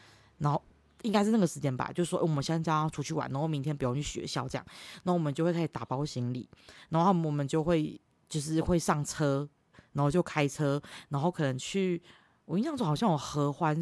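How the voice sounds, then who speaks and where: The speech moves at a fairly quick pace with ordinary pitch variation. The background is silent on a very clean recording. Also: woman. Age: 30s. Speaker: podcast host. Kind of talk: solo monologue podcast. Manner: loud laughter; halting, many fillers.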